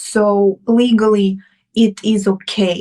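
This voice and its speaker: Very slowly and in a monotone, flat intonation, a woman talks at a medium pitch with a slight Russian accent. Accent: Russian accent, fairly slight. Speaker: romance author. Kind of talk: interview. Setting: live stream interview. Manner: halting, with repeated words.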